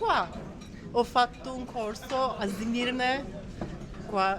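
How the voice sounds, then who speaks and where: Music plays in the background as a woman speaks with a Turkish accent, audible room echo around her voice. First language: Turkish (speaking Italian). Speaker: tour guide. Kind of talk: casual interview. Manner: halting.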